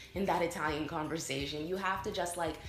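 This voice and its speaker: A woman's fairly low voice with an American accent at a very fast pace, fairly even in intonation, with audible room echo and music in the background. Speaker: vlogger. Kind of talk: casual vlog talk to camera.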